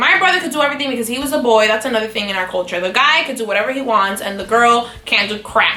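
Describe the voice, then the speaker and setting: Amid noticeable background noise and audible room echo, a woman talks at a very fast pace in a high voice. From Miami, Dominican-American family. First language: Spanish. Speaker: vlogger. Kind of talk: casual chat.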